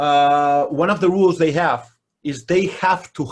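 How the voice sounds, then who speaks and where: This man speaks with a Spanish accent. His pitch is high. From Spain. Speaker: basketball coach. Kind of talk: interview. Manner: halting.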